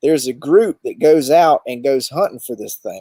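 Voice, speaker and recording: The voice has a Southern US accent. The sound is dry and close, with no echo. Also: man. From US South, southeast Alabama (Dothan). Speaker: overlanding expedition guide and show host. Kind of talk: casual interview chat. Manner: hesitant, many fillers.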